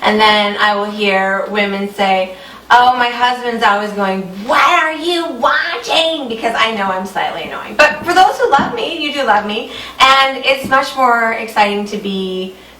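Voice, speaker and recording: Amid noticeable background noise and an audible room echo, a woman with a fairly high pitch speaks at a moderate pace in an animated tone, her intonation lively and her loudness swinging widely. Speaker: fashion retail show host. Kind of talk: sales pitch.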